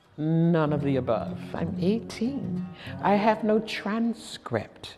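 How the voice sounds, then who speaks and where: A woman with an American accent, very slow and lively in intonation, over background music. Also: medium pitch for a woman. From Virginia, Prince Edward County. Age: 70s. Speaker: college student. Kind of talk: interview.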